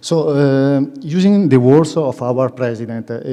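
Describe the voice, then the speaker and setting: A man talks at a very slow pace. His pitch is medium, with ordinary variation. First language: Italian. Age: under 45. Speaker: young managers' association representative. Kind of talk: public presentation. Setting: conference hall with audience. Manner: halting, many fillers.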